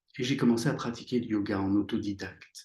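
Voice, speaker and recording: A man speaks at a moderate pace in a fairly low, somewhat breathy voice with a dark, mellow tone. His pitch varies in an ordinary way, and the background is quiet. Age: 60s. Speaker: psychotherapist and author. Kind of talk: interview. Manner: halting, many hesitations.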